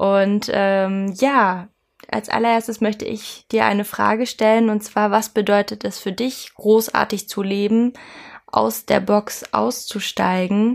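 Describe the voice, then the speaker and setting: A woman speaking at a very slow pace, in a flat, monotone delivery. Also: medium pitch for a woman. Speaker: life coach. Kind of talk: podcast monologue. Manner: hesitant, many fillers.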